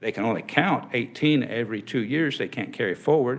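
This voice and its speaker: An unremarkable speaking voice with an American accent, at a fairly quick pace with ordinary pitch variation. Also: man. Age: 60s. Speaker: insurance agent. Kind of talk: legislative testimony.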